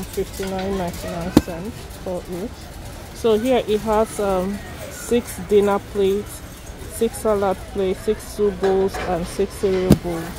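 Loud background noise in a dry recording with no echo. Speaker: shopping vlogger. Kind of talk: casual vlog chat. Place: shop. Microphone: phone near.

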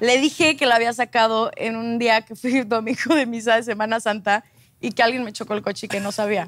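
The sound is dry with no echo as a woman with a fairly high pitch speaks at a fairly quick pace. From Mexico, Acapulco. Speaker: telenovela actress. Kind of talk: casual talk show interview. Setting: studio with audience. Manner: animated. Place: studio.

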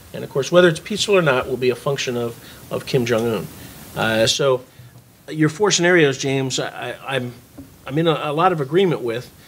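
With long, frequent pauses between fairly quick stretches of speech, a man talks with ordinary pitch variation. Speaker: panel discussant, former military; panel discussant. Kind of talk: panel discussion. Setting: stage with audience. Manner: halting, repeats words. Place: meeting room. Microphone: podium.

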